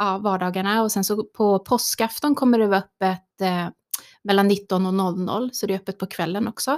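A woman speaks at a moderate pace. The recording is very clean with a silent background and a dry, close sound with no echo. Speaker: priest. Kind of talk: casual chat. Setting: studio.

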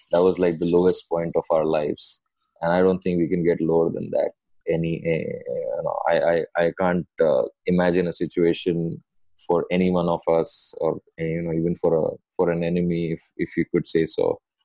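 In a dry, close sound with no echo, a man speaks with an Indian accent. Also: moderate pace. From India, Mumbai. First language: Hindi. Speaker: doctor. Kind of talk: casual chat. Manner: animated.

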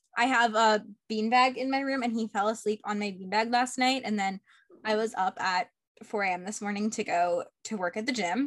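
Here is an ordinary speaking voice from a woman with a fairly high pitch. Her intonation stays fairly even at a moderate pace. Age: 20s. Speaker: podcast host. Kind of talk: interview; casual chat.

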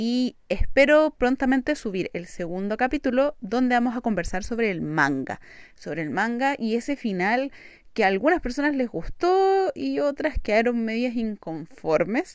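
Pitch swings very widely while the speech proceeds at a fairly slow pace. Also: woman, fairly high pitch for a woman. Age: 20s. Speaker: podcast host. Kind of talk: solo podcast monologue.

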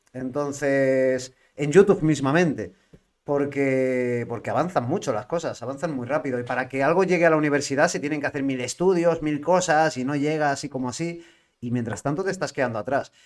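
An ordinary speaking voice from a man, fairly high in pitch, moves at a fairly quick pace with ordinary pitch variation. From Spain, L'Hospitalet (Barcelona). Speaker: podcast host and van-life traveller. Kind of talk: casual chat. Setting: live-streamed podcast.

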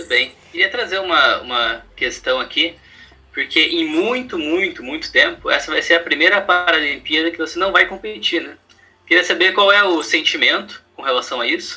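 The voice moves at a moderate pace with big swings in loudness, and music plays in the background. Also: man. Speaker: podcast host, interviewer. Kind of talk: interview chat on a podcast.

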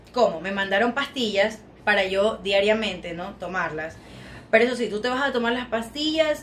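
Noticeable background noise sits behind a woman speaking. She has a fairly high pitch and keeps a moderate pace. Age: 20s. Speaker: plus-size model. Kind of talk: casual chat.

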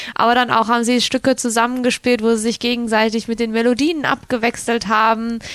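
This woman speaks at a fairly quick pace with hardly any pauses. Her pitch is fairly high, her intonation monotone and flat, and her loudness very even. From Cologne, Germany. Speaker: radio co-host, resort entertainment staff. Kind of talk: casual radio chat.

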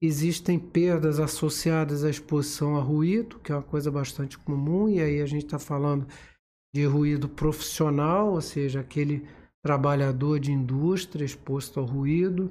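Somewhat breathy and dark, mellow in tone, a man talks at a moderate pace with a fairly high pitch and fairly even intonation. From Rio de Janeiro city, Brazil. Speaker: ENT doctor and medical professor. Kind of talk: interview, medical explanation.

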